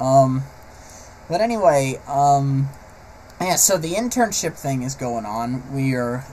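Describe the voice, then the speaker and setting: A man with a fairly high pitch speaks at a very slow pace, leaving long, frequent pauses. His tone is dark and mellow, somewhat breathy, with lively intonation. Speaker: vlogger, aspiring animator. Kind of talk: personal vlog monologue. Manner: halting, stammering; unscripted, hesitant.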